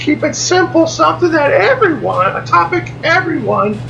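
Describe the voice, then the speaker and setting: A man speaks at a very slow pace. The audio carries audible room echo and noticeable background noise. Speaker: vlogger. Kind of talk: casual vlog monologue. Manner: loud, almost shouting; halting, repetitive.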